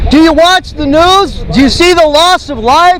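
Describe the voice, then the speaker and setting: An extremely high-pitched man at a fairly slow pace, with ordinary pitch variation and crowd noise in the background. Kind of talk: street preaching, loud proclamation of judgment. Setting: outdoors, street corner, on a microphone. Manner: loud, emphatic, repetitive.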